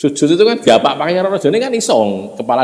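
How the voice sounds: This man's tone is dark and mellow. His intonation is lively.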